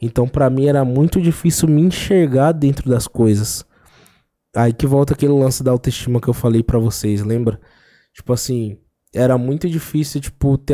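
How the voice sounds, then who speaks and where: Over a quiet background, a man talks at a moderate pace with a dark, mellow tone, medium pitch, ordinary pitch variation, very even loudness and long, frequent pauses. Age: 20s. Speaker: freestyle rap battle champion; podcast guest. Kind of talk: casual interview chat. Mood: relaxed, animated storytelling. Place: studio. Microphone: studio mic.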